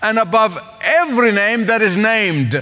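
A man uses a raised, projected voice with ordinary pitch variation. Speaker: preacher. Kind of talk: sermon. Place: church. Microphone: headset.

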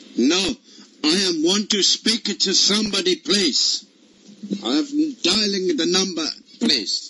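A man puts on a character voice, high-pitched with a bright, sharp tone and a slightly husky edge. He delivers it at a slow pace. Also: ordinary pitch variation.

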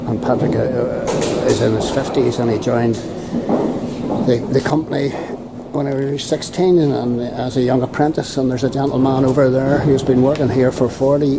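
A man talks at a moderate pace and a medium pitch, with little pitch movement and vocal fry. Background noise is clearly audible.

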